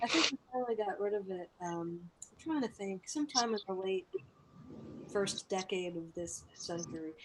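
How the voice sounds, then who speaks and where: A woman speaks with an American accent in a normal speaking voice, pitched in the middle range. Her intonation is lively and her pace fairly quick. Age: 40s. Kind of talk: casual chat.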